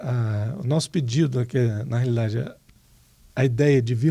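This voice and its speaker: A man with a medium-pitched, somewhat breathy voice and a dark, mellow tone talks at a moderate pace with ordinary pitch variation. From Rio de Janeiro, Brazil. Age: 60s. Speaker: retired electrical engineer and professor. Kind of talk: interview.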